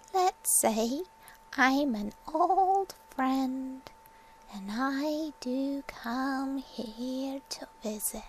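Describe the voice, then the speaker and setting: A woman puts on a character voice, pitched high, with lively intonation. She talks at a very slow pace, and her loudness swings widely. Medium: read story.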